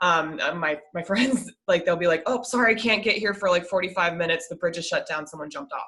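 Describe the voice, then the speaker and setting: Speaking at a very fast pace with hardly any pauses, a woman has a slight Midwestern accent and a fairly low pitch. Her tone is bright and sharp, with ordinary pitch variation. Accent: slight Midwest. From US Midwest, Minnesota. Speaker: podcast guest, podcast host. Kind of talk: casual interview chat.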